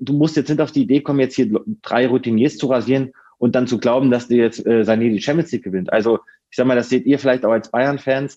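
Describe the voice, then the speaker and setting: A man talks at a very fast pace in a dark, mellow tone. His intonation is fairly even and his loudness very even. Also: medium pitch for a man. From northern Hesse, Germany (near Kassel). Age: 30s. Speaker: football reporter. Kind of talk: podcast interview.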